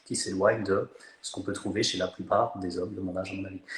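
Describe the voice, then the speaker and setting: This man speaks. His pace is fairly quick. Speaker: fitness coach and content creator. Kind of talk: casual chat. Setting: Instagram live video call. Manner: animated; hesitant, many fillers.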